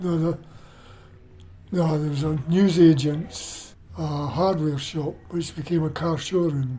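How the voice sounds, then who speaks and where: Audible room echo surrounds a man's fairly high voice. He uses fairly even intonation and long, frequent pauses. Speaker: oral history interviewee. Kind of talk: casual reminiscence interview. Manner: halting.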